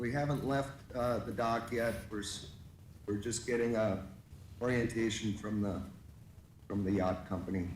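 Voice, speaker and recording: Medium pitch from a man, fairly even in intonation at a moderate pace, with long, frequent pauses and audible room echo. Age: 60s. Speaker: advisory committee member. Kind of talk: public meeting introduction. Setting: remote video call. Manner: halting, many fillers.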